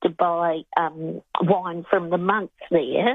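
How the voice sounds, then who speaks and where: A woman with an Australian accent. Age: 70s. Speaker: caller. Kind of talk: radio call-in story.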